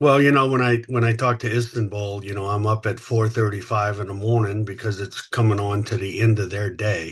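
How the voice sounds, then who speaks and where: Against a quiet background, a man with an American accent speaks at a fairly low pitch, somewhat breathy, with fairly even intonation and hardly any pauses. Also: fairly quick pace. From US South, Louisiana. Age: 60s. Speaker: company founder and CEO. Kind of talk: podcast interview. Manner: halting, many fillers.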